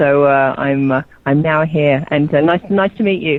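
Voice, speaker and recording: A woman with an English accent, at a moderate pace, with ordinary pitch variation. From southern England, Oxford. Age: 40s. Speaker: radio host calling in. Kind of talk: casual radio chat. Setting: phone call from outdoor terrace.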